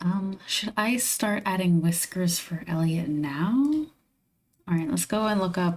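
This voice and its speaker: Somewhat breathy and fairly low-pitched, a woman speaks at a very slow pace with lively intonation. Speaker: digital artist streamer. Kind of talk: casual livestream commentary while drawing. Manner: stutters; relaxed, musing to self.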